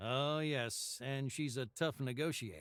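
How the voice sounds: Over faint music in an otherwise very clean, silent recording, a man puts on a character voice with vocal fry, a fairly bright tone and big pitch swings, speaking at a fairly slow pace.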